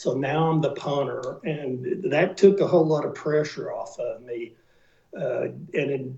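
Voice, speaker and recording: A man with an American accent speaks in a dark, mellow tone at a fairly high pitch, somewhat breathy, with ordinary pitch variation. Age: 70s. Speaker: retired NFL punter. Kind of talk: interview.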